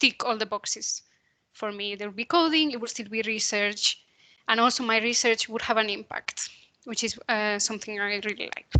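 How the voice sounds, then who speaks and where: A woman talks at a moderate pace with a fairly high pitch, a bright, sharp tone and fairly even intonation, the sound dry and close with no echo. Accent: Spanish. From Spain. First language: Spanish. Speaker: computational biologist. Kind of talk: career talk presentation.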